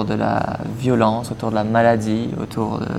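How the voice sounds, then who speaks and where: A man speaks at a medium pitch with monotone, flat intonation. Noticeable background noise is present. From Mauritius. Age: 20s. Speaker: eco-association co-founder, traveler. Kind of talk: podcast interview.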